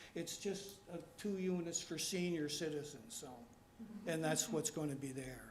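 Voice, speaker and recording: Noticeable background noise and audible room echo surround a man whose fairly high pitch shows ordinary pitch variation. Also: moderate pace. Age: 80s+. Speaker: resident at public meeting. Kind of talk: public meeting presentation. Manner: halting.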